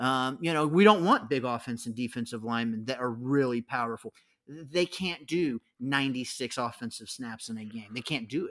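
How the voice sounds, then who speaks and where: Speaking at a moderate pace with an American accent, a man uses a medium pitch and an animated tone on a very clean recording with a silent background. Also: ordinary pitch variation. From San Diego, California. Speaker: college football commentator. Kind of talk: casual chat.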